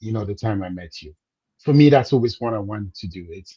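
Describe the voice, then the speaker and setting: Somewhat breathy and fairly low, a man's dark, mellow tone sits over a quiet background. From Cameroon. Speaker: business coach. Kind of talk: interview.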